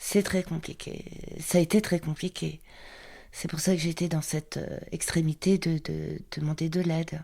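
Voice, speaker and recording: Her tone dark and mellow, a woman speaks in a somewhat breathy, flat monotone at a fairly slow pace. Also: fairly low pitch for a woman. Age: 60s. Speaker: market trader. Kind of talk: testimony.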